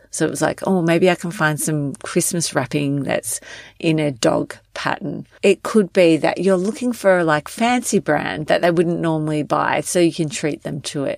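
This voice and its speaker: With an Australian accent, a woman speaks at a fairly low pitch and moderate pace with ordinary pitch variation, on a very clean, dry, close recording with no echo and a silent background. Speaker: wellness and organizing coach, podcast host. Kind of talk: solo podcast tips episode.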